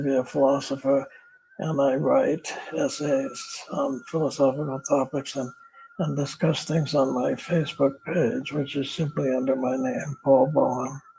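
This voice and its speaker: Noticeable background noise sits behind a man with an American accent and a fairly high pitch. He talks at a fairly slow pace with fairly even intonation. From United States. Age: 80s+. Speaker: retired philosophy professor. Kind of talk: interview. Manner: halting.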